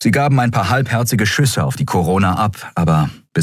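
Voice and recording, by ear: The speaker is reading aloud in a natural voice, with lively intonation throughout.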